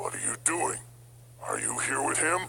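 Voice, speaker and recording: A man's raspy, put-on character voice at a moderate pace, over clear background noise. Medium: fan dub. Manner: gruff, blustering.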